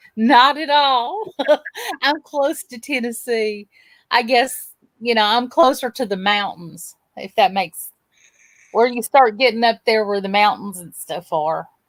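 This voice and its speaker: With big swings in loudness and lively intonation, a speaker in a Southern US accent talks at a fairly slow pace on a very clean recording with a silent background. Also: woman, fairly high pitch for a woman. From north Georgia, US South. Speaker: livestream guest. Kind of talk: casual livestream chat.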